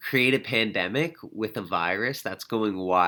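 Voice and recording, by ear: With pitch varying in an ordinary way, the speaker is reading aloud in a natural voice.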